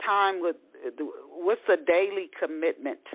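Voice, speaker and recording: A woman with an American accent, medium pitch and very wide pitch swings at a moderate pace. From US East Coast. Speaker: talk radio host and author. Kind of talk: interview.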